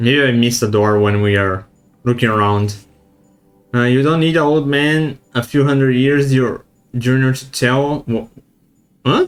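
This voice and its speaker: A man at medium pitch and moderate pace, with a non-native accent, ordinary pitch variation, long, frequent pauses and music in the background. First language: not English. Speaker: gaming streamer. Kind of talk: let's play commentary. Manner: halting.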